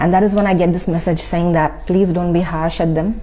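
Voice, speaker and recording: With audible room echo and noticeable background noise, a woman speaks in a monotone, flat intonation. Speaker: spiritual content creator. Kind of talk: personal testimony. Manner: soft-spoken; halting, many fillers.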